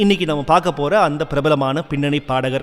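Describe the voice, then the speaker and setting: The speaker is a man. His pitch is fairly high. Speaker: radio show host. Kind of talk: radio show presenter talk. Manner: chatty, enthusiastic.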